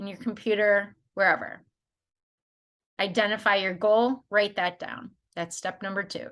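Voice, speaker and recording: Speaking fairly slowly, a woman has a plain, everyday voice pitched fairly high. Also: quiet background. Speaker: life coach. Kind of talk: tutorial. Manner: casual, conversational.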